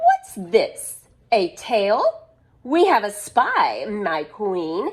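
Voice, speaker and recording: A woman performs a put-on character voice at a fairly high pitch. She speaks at a very slow pace. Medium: read story. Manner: sneering, snickering.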